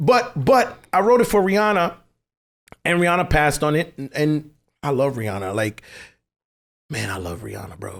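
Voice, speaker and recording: Using very wide pitch swings and big swings in loudness, a speaker with a Caribbean accent talks at a moderate pace with long, frequent pauses in a very clean recording with a silent background. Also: man, fairly high pitch for a man. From US Virgin Islands (St. Thomas). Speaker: songwriter. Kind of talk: casual chat. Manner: animated.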